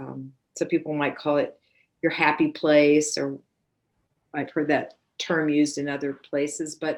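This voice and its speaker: On a very clean recording with a silent background, a woman with a very deep, low voice speaks in a monotone, flat way at a fairly slow pace with long, frequent pauses. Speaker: iRest Yoga Nidra practitioner and trainer. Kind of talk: interview answer explaining a practice.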